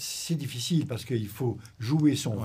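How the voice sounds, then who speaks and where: A man at medium pitch, somewhat breathy, with a dark, mellow tone and a fairly slow pace. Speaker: retired intelligence officer. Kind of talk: interview.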